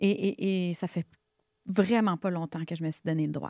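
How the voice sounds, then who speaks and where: In a Quebec accent, a woman speaks at a fairly slow pace and a medium pitch with a dark, mellow tone. The sound is dry with no echo, against a quiet background. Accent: Québécois French. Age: 40s. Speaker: therapist, coach and singer; coach. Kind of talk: interview, life story. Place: studio. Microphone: studio mic.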